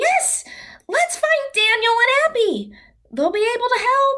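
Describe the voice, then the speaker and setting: Using a squeaky, put-on character voice at an extremely high pitch, a woman speaks at a fairly slow pace with lively intonation. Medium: audio drama. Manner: earnest, direct.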